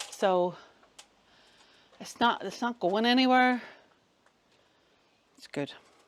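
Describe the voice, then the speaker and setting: A woman's mumbled speech at a very slow pace, fairly high in pitch with ordinary pitch variation and long, frequent pauses. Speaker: vlogger renovating a cottage. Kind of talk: casual vlog narration. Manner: mumbling; soft, not projected.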